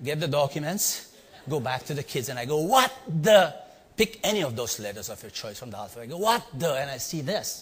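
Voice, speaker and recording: Somewhat breathy, a man with an Indian accent speaks at a moderate pace, his pitch swinging very widely. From India (Bombay). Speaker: leadership trainer and speaker. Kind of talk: storytelling talk to a live audience. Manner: animated.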